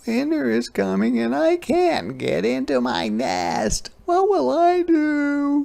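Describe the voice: A man's put-on character voice, extremely high-pitched with vocal fry, slow, slightly mellow in tone, and swinging very widely in pitch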